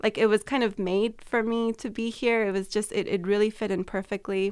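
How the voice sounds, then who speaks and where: A woman with an ordinary speaking voice and an American accent talks at a moderate pace and a fairly high pitch, on a very clean recording with a silent background. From California. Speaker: communication professor. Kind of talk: interview.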